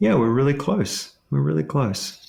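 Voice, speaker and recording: A man speaks with a slight Australian accent. His pace is moderate. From Ontario, Canada, with Australian upbringing. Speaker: leadership coach and author. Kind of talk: podcast interview.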